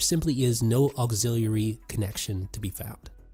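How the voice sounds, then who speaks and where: Background music plays throughout. Over it, a man talks at a moderate pace. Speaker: tech reviewer. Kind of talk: product review.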